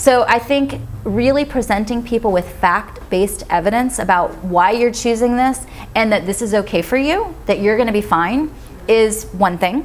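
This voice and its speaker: Noticeable background noise sits under a woman's fairly high voice. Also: ordinary pitch variation. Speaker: vegan author and speaker. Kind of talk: Q&A after a talk. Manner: fast.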